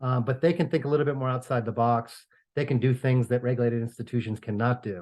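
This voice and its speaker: Against a quiet background, someone with a New York accent talks at a very fast pace with fairly even intonation. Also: man, medium pitch for a man. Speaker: real estate finance professor and consultant. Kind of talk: podcast interview. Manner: hesitant, many fillers and repeats.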